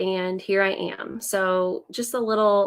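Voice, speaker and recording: Heard on a very clean recording with a silent background, a woman speaks with a US Midwestern accent. Her medium-pitched voice has a bright, sharp tone and monotone, flat intonation. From Indiana, US Midwest. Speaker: business coach and former teacher. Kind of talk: live stream presentation. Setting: live video stream. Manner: hesitant, many fillers.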